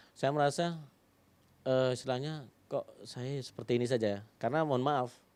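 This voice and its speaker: With a quiet background, a man speaks at a moderate pace in a medium pitch, using a plain, everyday voice and fairly even intonation. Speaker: primary school teacher. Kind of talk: interview, personal story. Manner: casual, conversational.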